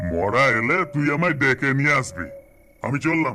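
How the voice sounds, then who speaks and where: A man speaks in a cartoonish character voice at medium pitch, keeping a moderate pace with lively intonation. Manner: curt, offhand.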